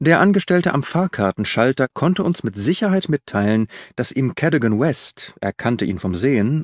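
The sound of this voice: Recorded very clean against a silent background, the sound is dry and close with no echo. A man speaks at a moderate pace with a medium pitch and big pitch swings.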